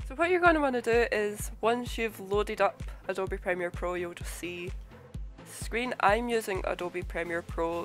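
A woman talks fairly slowly while music plays in the background. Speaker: video editor. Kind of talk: software tutorial narration. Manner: casual, conversational.

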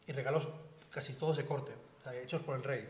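Light background noise and audible room echo surround a man's fairly high pitch. His voice is somewhat breathy, with fairly even intonation. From Spain, Seville; Spain. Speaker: art dealer; panelist. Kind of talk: lecture. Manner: halting. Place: hall. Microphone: podium.

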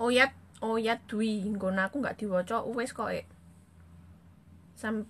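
This woman speaks very slowly, leaving long, frequent pauses. Her pitch is fairly high and her intonation fairly even. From East Java (Blitar/Kediri area); East Java, Indonesia. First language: Javanese (speaking Indonesian). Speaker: social media live streamer. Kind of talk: casual live stream chat reading comments. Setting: Facebook live stream. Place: home room. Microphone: phone near.

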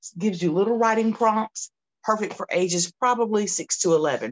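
A woman in a Southern US accent with an animated tone, against a quiet background. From US South, Georgia. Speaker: children's author. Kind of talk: promotional talk. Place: home room.

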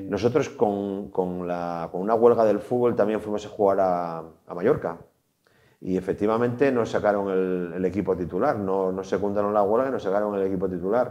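A man speaks in a fairly low pitch with a dark, mellow tone. His pitch variation is ordinary, and the background is quiet. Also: moderate pace. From Asturias, Trubia. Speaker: former footballer. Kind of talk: interview. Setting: studio. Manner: halting. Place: studio.

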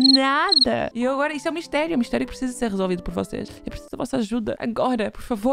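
A woman's high, animated, excited voice in a European Portuguese accent, very fast, with a dry sound free of echo and light background noise. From Portugal. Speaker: reaction youtuber. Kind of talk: casual reaction video talk to camera. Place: home room. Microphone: studio mic.

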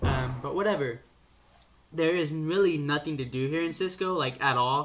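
A man speaks in a bright, sharp tone with fairly even intonation. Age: young. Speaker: vlogger, college student; vlogger. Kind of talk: casual vlog monologue. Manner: halting, many fillers. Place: home room. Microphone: webcam.

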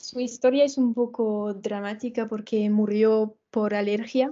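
A woman with a French accent, fairly high in pitch, flat and monotone in intonation, speaking at a fairly slow pace. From France. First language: French (speaking Spanish). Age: 20s. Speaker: dancer and Spanish learner; interviewee. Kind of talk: casual interview chat. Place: home room. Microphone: video call.

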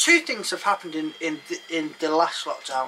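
Over light background noise, a high-pitched man talks at a moderate pace with ordinary pitch variation. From England. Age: 30s. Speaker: narrowboat vlogger. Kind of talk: casual chat. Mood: jokey, lively. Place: boat.

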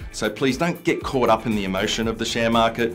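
Faint background music behind a man talking at a fairly quick pace. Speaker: presenter. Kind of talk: tutorial. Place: studio.

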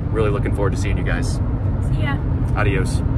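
Loud background noise surrounds very fast speech with a dry sound and no echo. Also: man. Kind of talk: casual vlog chat. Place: car. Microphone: phone near.

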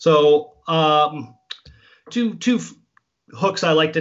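Against a quiet background, a man with a fairly high pitch speaks with long, frequent pauses. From Canada. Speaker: fly fishing guide and instructor; fly fishing guide, instructor. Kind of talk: tutorial. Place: home room. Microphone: video call.

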